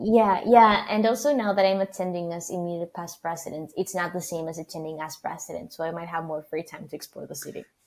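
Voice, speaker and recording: Speaking very fast in a Spanish accent, a woman with a fairly low pitch shows ordinary pitch variation and big swings in loudness. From Argentina. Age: 20s. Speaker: PR student leader and founder. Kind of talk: podcast interview.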